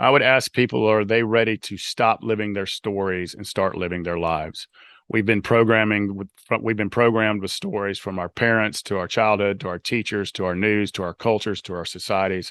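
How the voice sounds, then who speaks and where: A man with a Southern US accent talks at a fairly quick pace, fairly low in pitch with fairly even intonation. The sound is dry and close with no echo, over a quiet background. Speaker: author and life coach. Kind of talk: podcast interview.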